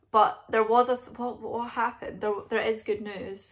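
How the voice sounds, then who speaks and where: A woman with a Scottish accent, fairly high in pitch, at a moderate pace. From Scotland. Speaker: vlogger. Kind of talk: casual talk to camera. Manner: rambling. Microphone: phone near.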